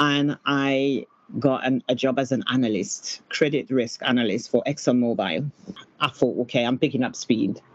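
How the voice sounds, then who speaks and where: A woman talks at a moderate pace in a French accent. Her pitch is very deep and low, with ordinary variation. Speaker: PR agency founder. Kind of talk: casual interview chat.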